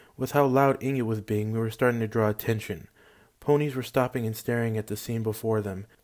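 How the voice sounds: Fairly even intonation in a natural reading voice.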